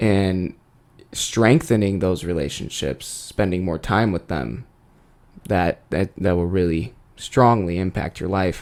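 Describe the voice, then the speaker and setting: At a fairly slow pace, a man speaks in a very deep, low pitch with ordinary pitch variation. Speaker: podcast co-host. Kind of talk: casual chat. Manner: loud.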